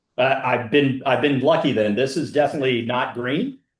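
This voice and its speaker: An unremarkable speaking voice from a man, fairly high in pitch, at a fairly slow pace. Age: 60s. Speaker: wine collector. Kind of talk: casual chat.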